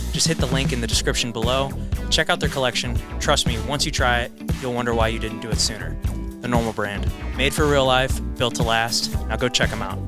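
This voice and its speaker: A man's very deep, low voice with very wide pitch swings at a fairly quick pace, music in the background. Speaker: podcast host. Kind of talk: podcast intro and ad read.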